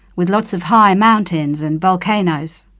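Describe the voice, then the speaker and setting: A fairly slow voice in a New Zealand accent with ordinary pitch variation, on a very clean recording with a silent background. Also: woman. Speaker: English-learning speaker. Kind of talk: scripted monologue.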